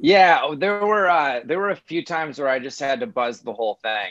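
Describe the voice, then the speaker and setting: In a Midwestern American accent, a man talks at a moderate pace with lively intonation, the sound dry with no echo and the background quiet. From US Midwest. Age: 40s. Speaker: comedian. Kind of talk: casual interview. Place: home room. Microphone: video call.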